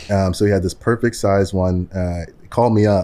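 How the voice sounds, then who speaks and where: On a very clean recording with a silent background, a man with an American accent and a very deep, low pitch speaks at a moderate pace in a dark, mellow tone with monotone, flat intonation. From New York, Queens. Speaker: entrepreneur. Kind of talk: casual chat.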